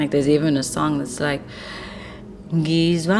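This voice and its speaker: Music plays in the background, and the room echo is audible. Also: woman. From South Africa, Eastern Cape. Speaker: musician. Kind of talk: reflective narration.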